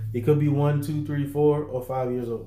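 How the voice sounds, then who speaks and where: In a room with audible echo, a man speaks very fast in a dark, mellow, somewhat breathy tone with monotone, flat intonation. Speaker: business funding and credit coach. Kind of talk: livestream tutorial to online group. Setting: livestream in online group. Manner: casual, conversational.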